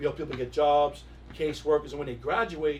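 This man speaks with a New York accent. His pace is fairly quick. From New York, Queens. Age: 50s. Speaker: music industry executive. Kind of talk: casual interview.

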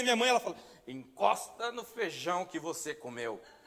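Lively intonation over noticeable background noise. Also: man. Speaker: pastor. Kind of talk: sermon.

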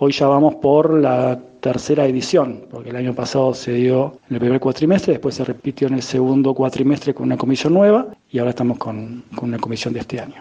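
A man with a medium pitch speaks in a normal speaking voice at a fairly quick pace. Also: ordinary pitch variation. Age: 40s. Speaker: emotional intelligence coach and teacher. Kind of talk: interview.

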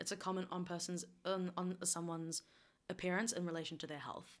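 A woman speaks with a New Zealand accent in a fairly low pitch. Her intonation is monotone and flat. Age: 20s. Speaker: university residential advisor. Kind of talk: casual chat. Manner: laughs often.

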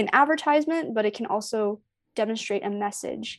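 A plain, everyday voice with a Canadian accent speaks at a moderate pace with ordinary pitch variation, on a very clean recording with a silent background. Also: woman. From Canada, Toronto area (Scarborough, Markham). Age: 20s. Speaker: sneaker artist. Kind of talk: casual interview chat.

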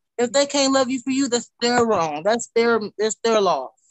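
A woman speaks at a moderate pace in an ordinary speaking voice. Her pitch is fairly high, with ordinary pitch variation. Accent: American. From Wichita, Kansas, US. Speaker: rapper. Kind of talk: casual interview.

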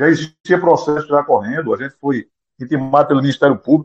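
A man talking at a fairly quick pace. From Brazil, Pernambuco (Vicência). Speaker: association president, former biology teacher. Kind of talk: interview.

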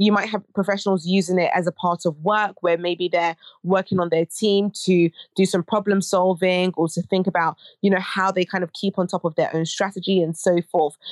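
In a British accent, a woman speaks at medium pitch with monotone, flat intonation and very even loudness. The recording is very clean, dry and close with no echo, over a silent background. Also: fairly quick pace. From Britain, Ghanaian heritage. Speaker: academic and fashion education nonprofit director. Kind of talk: interview.

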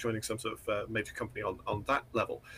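Talking at a fairly quick pace, a man speaks with a northeast English accent. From northeast England. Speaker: indie game developer. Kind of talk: interview conversation.

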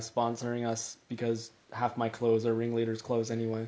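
Talking at a very fast pace, a man holds a medium pitch. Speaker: podcast co-host. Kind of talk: casual chat.

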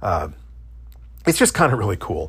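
A man at a very fast pace with vocal fry, in a very clean recording with a silent background. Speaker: podcast host. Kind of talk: solo podcast monologue. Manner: fast talker.

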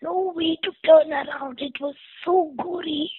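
A woman is speaking. Her pace is fairly slow. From India (Kerala). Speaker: fire survivor. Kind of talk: interview.

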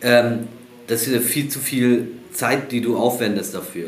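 A man's medium-pitched voice at a fairly slow pace with fairly even intonation, amid audible room echo and noticeable background noise. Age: 40s. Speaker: football technique coach. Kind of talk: casual interview.

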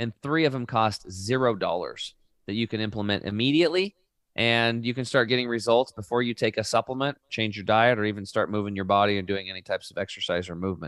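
Recorded very cleanly against a silent background, a man speaks very fast at a medium pitch with ordinary pitch variation and a dry, close sound with no echo. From Oregon, US. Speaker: health coach, product company founder. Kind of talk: interview.

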